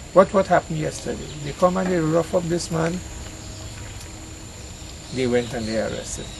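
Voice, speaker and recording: Speaking at a moderate pace with a Trinidadian accent, a man uses a high pitch and takes long, frequent pauses. Background noise is noticeable. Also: ordinary pitch variation. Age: 60s. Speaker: farmer. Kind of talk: emotional plea, outdoors conversation. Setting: outdoors. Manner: distressed, pleading.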